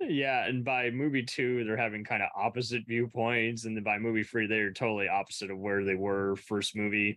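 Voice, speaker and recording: A man's unremarkable speaking voice at medium pitch, fairly quick and with hardly any pauses, in fairly even intonation. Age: 30s. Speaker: podcast host. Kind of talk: casual chat.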